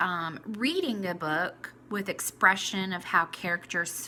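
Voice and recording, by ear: Reading aloud naturally, with pitch shifting as much as is typical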